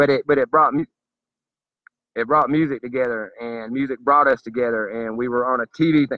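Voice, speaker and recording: Speaking with a Southern US accent, a man moves at a fairly quick pace in a fairly high pitch. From US South. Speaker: political commentator. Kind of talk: monologue. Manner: animated.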